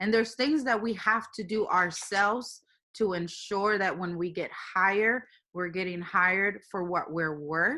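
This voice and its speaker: A woman with a Spanish accent speaks at a fairly slow pace, her medium pitch carrying ordinary variation and a bright, sharp tone. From Puerto Rico. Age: young. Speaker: engineering manager. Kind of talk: interview.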